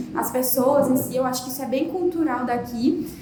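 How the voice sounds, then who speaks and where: A woman with a northeastern Brazilian accent speaks at a high pitch with fairly even intonation, over noticeable background noise and audible room echo. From Pernambuco, Brazil, near Bahia border. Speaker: podcast host. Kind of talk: podcast interview.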